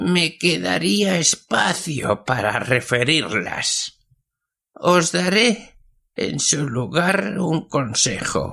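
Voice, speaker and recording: A man's put-on character voice, fairly high and shaky, very slow, with very wide pitch swings. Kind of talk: old-fashioned folk tale telling. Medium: read story. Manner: slow, paternal, mysterious.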